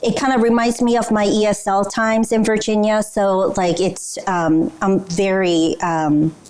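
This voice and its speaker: A woman with a medium pitch speaks with a Korean accent. Noticeable background noise is present. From South Korea. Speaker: business culture trainer. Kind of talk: training presentation.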